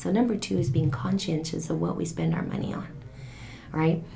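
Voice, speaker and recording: Noticeable background noise accompanies a woman who talks at a fairly quick clip. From Mexico. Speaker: financial coach. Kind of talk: interview.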